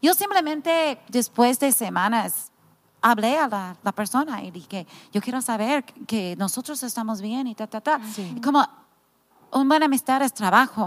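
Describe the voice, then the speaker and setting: Speaking at a fairly slow pace with lively intonation, a woman with an American accent is heard in a dry, close sound with no echo. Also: fairly high pitch for a woman. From United States. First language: English (speaking Spanish). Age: 50s. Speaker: pastor's wife and ministry founder. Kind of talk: casual chat. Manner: halting.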